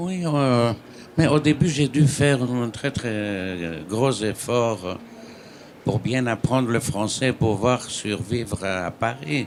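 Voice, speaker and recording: Speaking very slowly in a Greek accent, a man with a medium-pitched voice uses lively intonation against noticeable background noise. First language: Greek (speaking French). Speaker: writer. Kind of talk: panel discussion.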